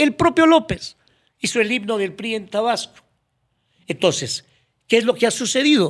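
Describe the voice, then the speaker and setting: With a Mexican accent, a man talks at a moderate pace in an extremely high pitch, his intonation lively and broken by long, frequent pauses. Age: 70s. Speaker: former public official. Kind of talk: podcast interview.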